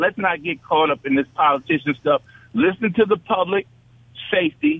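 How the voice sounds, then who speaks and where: A man with an American accent speaks at a high pitch, with ordinary pitch variation. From New York. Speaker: radio caller. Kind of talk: call-in comment. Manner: animated.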